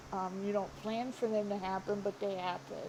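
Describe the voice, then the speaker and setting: There is audible room echo on this recording. The speaker is a woman. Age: 30s. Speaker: YouTuber. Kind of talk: casual vlog monologue. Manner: halting, many fillers.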